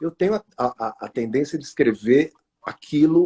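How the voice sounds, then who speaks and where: The sound is dry and close with no echo, carrying a man's dark, mellow tone. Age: 60s. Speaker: author. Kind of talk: interview. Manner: halting, many fillers.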